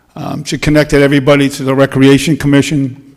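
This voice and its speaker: A man with a fairly high pitch and monotone, flat intonation. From Rhode Island, South Kingstown. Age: 60s. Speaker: resident speaking at public comment. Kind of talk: public comment at town meeting.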